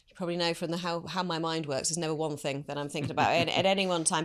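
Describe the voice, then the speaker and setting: A woman with a slight British accent speaks at a very fast pace. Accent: slight UK. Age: 50s. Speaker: business executive. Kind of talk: interview.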